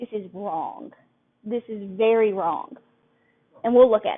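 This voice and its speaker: At a moderate pace, a woman with a Southern US accent speaks at a fairly high pitch. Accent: Southern US country. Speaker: couponing workshop instructor. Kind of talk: live classroom lecture. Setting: live room recording.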